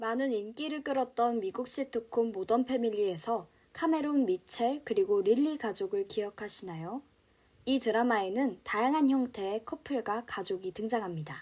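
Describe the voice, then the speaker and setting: Against a quiet background, a woman speaks in a normal speaking voice at a moderate pace, fairly high in pitch with ordinary pitch variation. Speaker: broadcaster / announcer. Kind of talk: card-news narration, informative.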